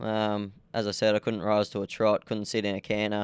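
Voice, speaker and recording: A man with a rural Australian accent talks at a fairly quick pace and a fairly low pitch. The recording is very clean, with a silent background and a dry, close sound with no echo. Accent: country Australian twang. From Australia, rural New South Wales (Young, Southwest Slopes). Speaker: jockey. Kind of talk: interview.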